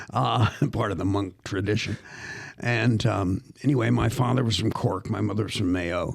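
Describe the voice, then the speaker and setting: Using vocal fry, a man with an American accent speaks at a moderate pace with ordinary pitch variation. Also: fairly low pitch for a man. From US Northeast, Philadelphia. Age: 70s. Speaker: actor and professor. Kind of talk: casual interview storytelling. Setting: podcast studio. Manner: animated.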